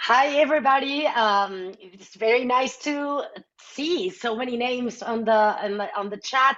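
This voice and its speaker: A woman speaks in a Mexican accent with lively intonation. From Mexico City. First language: Spanish. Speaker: nonprofit CEO. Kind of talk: webinar introduction.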